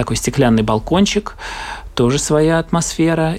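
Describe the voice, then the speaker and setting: Noticeable background noise surrounds the recording. A man speaks at a moderate pace with ordinary pitch variation. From Latvia. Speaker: theatre actor. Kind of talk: casual travel interview.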